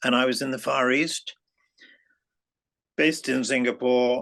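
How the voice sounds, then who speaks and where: With an English accent, a man speaks at a fairly slow pace. His tone is bright and sharp, at medium pitch. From England. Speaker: political activist and democracy researcher. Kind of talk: interview.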